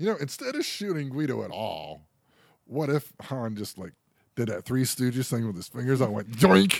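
In an American accent, a man speaks at a medium pitch and a moderate pace. His is an unremarkable speaking voice with lively intonation. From Pennsylvania. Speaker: podcast co-host. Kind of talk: casual chat.

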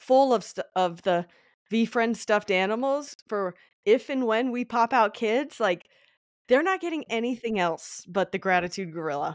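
A woman's plain, everyday voice with an American accent, fairly high in pitch, at a moderate pace with lively intonation. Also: dry, close sound with no echo, very clean recording, silent background. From Colorado, US. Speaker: commercial real estate agent and content creator. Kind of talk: casual interview chat.

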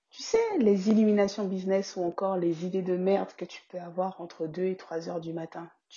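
A woman's somewhat breathy voice. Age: 30s. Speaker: podcast host and business coach. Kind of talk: casual podcast monologue.

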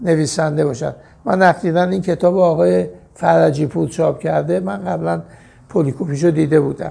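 Somewhat breathy, this man speaks at a fairly high pitch with very wide pitch swings. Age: 70s. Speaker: veteran mountaineer and magazine publisher. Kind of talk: interview.

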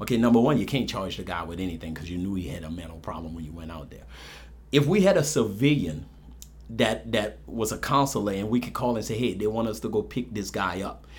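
With audible room echo, a man speaks very fast in a fairly low voice with vocal fry, big swings in loudness, and very wide pitch swings. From New Orleans, Ninth Ward. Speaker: police officer and city marshal candidate. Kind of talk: interview.

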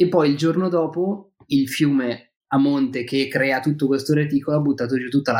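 A man's plain, everyday voice, fairly high in pitch, with fairly even intonation at a moderate pace. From Milan, northern Italy. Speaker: fishing guest, fly and spinning angler. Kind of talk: casual chat.

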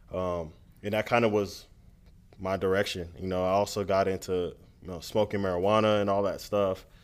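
In a very clean recording with a silent background, a man with an American accent speaks at a moderate pace, using a fairly low pitch and monotone, flat intonation. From Miami, Florida (Nigerian household). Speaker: student pastor. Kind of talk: interview testimony. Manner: hesitant with frequent ums.

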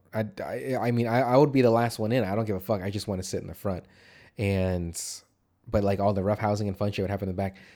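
In a very clean recording with a silent background, a man talks at a very fast pace with a fairly low pitch and fairly even intonation. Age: 30s. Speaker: podcast co-host. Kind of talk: casual chat. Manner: casual, swears freely.

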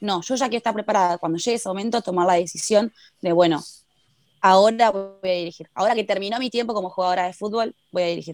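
A woman talks at a very fast pace in a medium pitch. Her intonation is fairly even, and the sound is dry and close with no echo. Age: 20s. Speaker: footballer. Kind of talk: interview.

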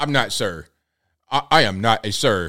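A man's gruff, put-on character voice at a medium pitch and fairly slow pace, on a very clean recording with a silent background. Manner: insistent, declaring.

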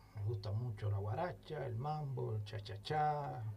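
The speaker talks at a fairly slow pace with lively intonation, and room echo is audible. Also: man. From Cuba, Santiago de Cuba. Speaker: musician. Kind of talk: casual chat.

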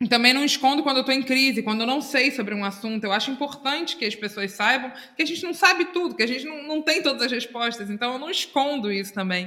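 Over noticeable background noise, a woman with a high voice speaks in a raised, projected way at a very fast pace, her intonation lively and hardly any pauses between words. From Brazil, Itacuruçá (Rio de Janeiro state). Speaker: podcast co-host. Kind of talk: casual chat.

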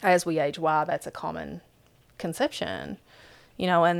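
In an Appalachian accent, the voice comes through on a very clean recording with a silent background. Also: woman. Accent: Appalachian, noticeable. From southeastern Kentucky, Appalachia. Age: 40s. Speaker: author and speaker. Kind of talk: interview conversation.

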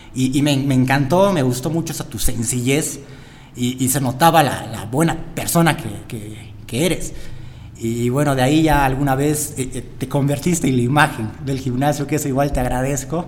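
Audible room echo and noticeable background noise surround a man with a fairly high pitch. He keeps a moderate pace and fairly even intonation. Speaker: podcast host, gym owner. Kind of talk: casual interview.

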